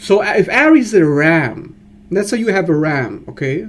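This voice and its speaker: Speaking fairly slowly, a man lets his pitch swing very widely. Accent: German. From Germany. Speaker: astrologer. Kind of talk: educational monologue. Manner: animated.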